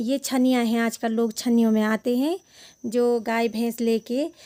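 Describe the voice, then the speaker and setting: A woman's fairly high voice with a Garhwali accent, a dark, mellow tone and monotone, flat intonation, on a very clean recording with a silent background. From Uttarakhand, Garhwal. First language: Garhwali (speaking Hindi). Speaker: travel vlogger. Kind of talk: vlog narration.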